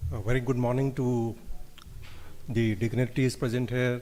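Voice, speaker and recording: Dark and mellow in tone, the voice moves at a moderate pace with an Indian accent, and the room echo is audible. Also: man. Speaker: engineering company director. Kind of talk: conference speech.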